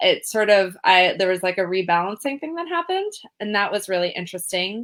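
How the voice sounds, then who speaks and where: Speaking with a Californian accent, a woman has a medium pitch. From California, Berkeley. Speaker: trauma and safety educator, grant writer. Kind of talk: interview.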